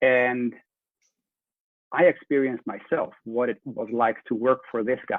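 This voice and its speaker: A man at medium pitch with a slight Dutch accent. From Netherlands. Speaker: leadership coach and trainer. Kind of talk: interview.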